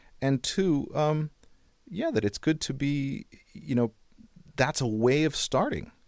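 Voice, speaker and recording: A man's fairly high voice with lively intonation, in a dry, close sound with no echo. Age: 50s. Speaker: auditory experience designer. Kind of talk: interview. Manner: halting.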